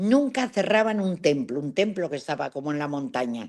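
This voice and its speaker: Her pitch swings very widely as the woman speaks. The background is quiet. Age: 80s+. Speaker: travel adventurer. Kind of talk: interview storytelling.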